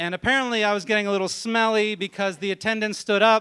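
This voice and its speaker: A man's high-pitched, raised and projected voice with a bright, sharp tone. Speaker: storyteller. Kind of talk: live storytelling, comedic. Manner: animated, comedic.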